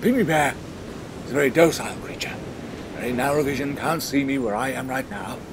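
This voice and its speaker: Noticeable background noise accompanies a man with a fairly high pitch and ordinary pitch variation, who talks at a fairly quick pace with long, frequent pauses. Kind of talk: scripted mock nature-documentary narration.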